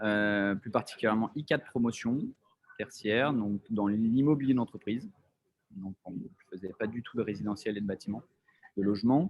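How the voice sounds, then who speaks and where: At a moderate pace, a man with a fairly low-pitched voice and ordinary pitch variation talks with long, frequent pauses and big swings in loudness. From France, Lyon / Haute-Savoie. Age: 30s. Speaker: entrepreneur, real estate developer. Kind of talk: casual talk about career. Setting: video call. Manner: halting, many fillers.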